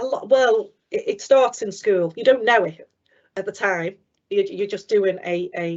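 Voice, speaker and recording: A woman with a Liverpool accent speaks with fairly even intonation. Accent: Liverpool (Scouse). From Liverpool area, England. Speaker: business development manager. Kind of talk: careers talk. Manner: fast.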